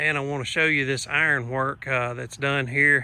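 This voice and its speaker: A man in a Southern US accent, medium pitch, fairly even intonation, a relaxed tone that is also bright and sharp. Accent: Southern US country. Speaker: vlogger. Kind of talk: casual vlog narration. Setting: outdoors. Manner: relaxed, many filler uh's.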